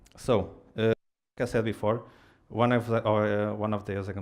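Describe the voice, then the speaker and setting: A man at a moderate pace, fairly low in pitch, against a quiet background. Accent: non-native. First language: Portuguese. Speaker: software engineer, tech speaker. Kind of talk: tech meetup talk. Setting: stage with audience. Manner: halting, many fillers.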